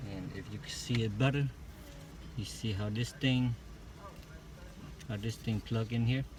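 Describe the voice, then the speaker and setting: Mumbling at a moderate pace, a man speaks at medium pitch with ordinary pitch variation. He leaves long, frequent pauses. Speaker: amateur car repair video maker. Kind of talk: casual DIY tutorial. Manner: halting, hesitant.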